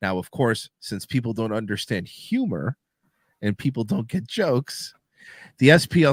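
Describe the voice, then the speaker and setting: An animated man talks with very wide pitch swings and vocal fry. The recording is very clean and dry, close with no echo, over a silent background. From Miami, Cuban-American family. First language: Spanish. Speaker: internet radio show host. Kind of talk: casual chat.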